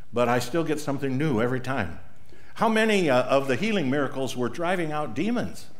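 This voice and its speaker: The speech moves at a moderate pace with very wide pitch swings. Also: man. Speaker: pastor. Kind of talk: sermon. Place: church.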